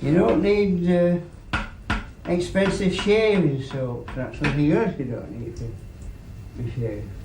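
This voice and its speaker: Fairly slow, lively intonation with big swings in loudness and long, frequent pauses, over noticeable background noise. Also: man, fairly high pitch for a man. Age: 80s+. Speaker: razor grinder. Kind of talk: casual talk while shaving, interview answers.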